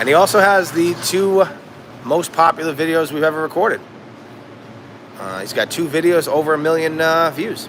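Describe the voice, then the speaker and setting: Over noticeable background noise, a man with an American accent speaks at a moderate pace in a fairly high pitch, leaving long, frequent pauses. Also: ordinary pitch variation. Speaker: rug cleaning business owner. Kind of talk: live stream Q&A. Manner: hesitant, many fillers and restarts.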